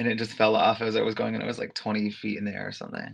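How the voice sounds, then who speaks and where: A man speaks with vocal fry against a quiet background. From New York City (Harlem). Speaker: go-go dancer and aerialist. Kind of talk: casual interview chat.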